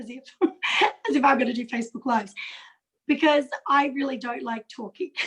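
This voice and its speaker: A woman with an Australian accent talks at a fairly quick pace in a high pitch. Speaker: direct sales consultant. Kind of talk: video call interview. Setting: video call.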